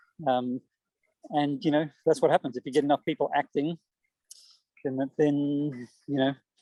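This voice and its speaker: At a moderate pace, a man with a fairly high pitch and a dark, mellow tone speaks with fairly even intonation in a dry, close sound with no echo. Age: 60s. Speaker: poet. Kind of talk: interview. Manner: halting, many repeated words.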